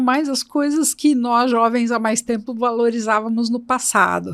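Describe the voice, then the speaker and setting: A woman talks at a moderate pace in a high pitch. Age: 60s. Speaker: HR entrepreneur, employability expert. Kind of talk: podcast interview.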